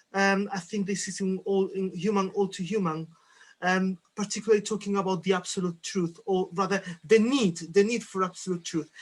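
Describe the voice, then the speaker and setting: At a moderate pace, a man with a Spanish accent speaks in a high pitch. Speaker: philosophy discussion participant. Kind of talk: group discussion.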